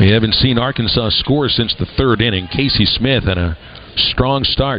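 Upbeat and energetic, a man speaks with ordinary pitch variation. Noticeable background noise is present. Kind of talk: live baseball play-by-play commentary. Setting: radio broadcast from ballpark. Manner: upbeat radio play-by-play, steady and energetic.

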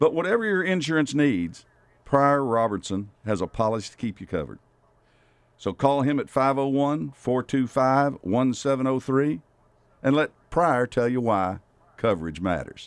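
A man in a Southern US accent speaks at a fairly slow pace over a quiet background. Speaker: outdoors radio host. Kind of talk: casual chat. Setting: studio.

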